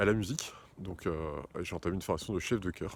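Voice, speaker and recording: Speaking at a moderate pace, the man has a very deep, low pitch. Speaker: career change coach and choir conductor. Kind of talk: casual talk to camera. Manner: hesitant, many filler sounds.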